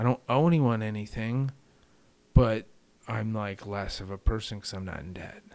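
A man's fairly low voice at a moderate pace, with ordinary pitch variation, big swings in loudness, and long, frequent pauses. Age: 40s. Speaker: long-distance cycle tourist. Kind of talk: casual chat.

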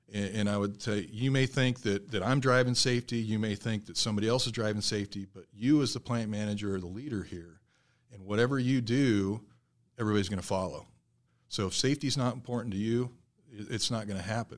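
With a Midwestern US accent, a man talks very fast at a fairly low pitch with fairly even intonation against a quiet background. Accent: US Midwest. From south central Nebraska. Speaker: safety manager. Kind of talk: casual interview.

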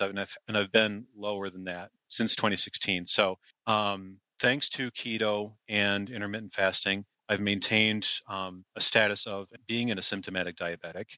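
A man talks in a fairly low, flat monotone with a bright, sharp tone. His fairly slow speech sounds dry and close, with no echo. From United States. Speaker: keto online group admin. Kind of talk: podcast interview.

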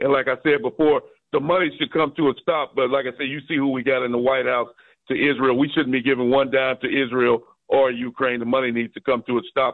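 A man speaks in a normal speaking voice. His intonation is fairly even. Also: medium pitch for a man. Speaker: caller. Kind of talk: call-in radio. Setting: phone call.

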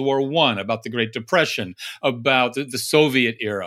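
A man speaks at a medium pitch with a warm, enthusiastic tone and ordinary pitch variation. His pace is moderate on a very clean recording with a silent background. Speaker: podcast interviewer. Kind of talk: casual interview.

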